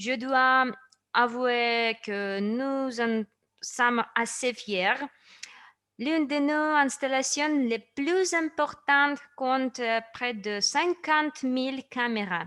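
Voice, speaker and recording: In a raised, projected voice, a woman with a high pitch and a bright, sharp tone speaks at a very slow pace with ordinary pitch variation. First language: not French (speaking French). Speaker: company presenter. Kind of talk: product presentation. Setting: online session.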